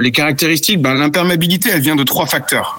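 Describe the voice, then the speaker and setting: A man's voice over noticeable background noise. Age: 40s. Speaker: product manager for sailing clothing. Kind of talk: interview. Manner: hesitant, many fillers.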